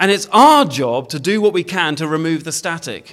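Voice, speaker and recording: On a very clean recording with a silent background, a man's high voice moves in very wide pitch swings. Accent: British. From Britain. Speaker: preacher. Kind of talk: sermon. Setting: church. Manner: hesitant, many fillers.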